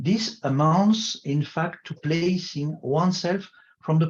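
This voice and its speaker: At a fairly slow pace, a man with a non-native accent talks in a high pitch with ordinary pitch variation. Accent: foreign. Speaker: food industry consultant. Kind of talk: conference presentation. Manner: halting.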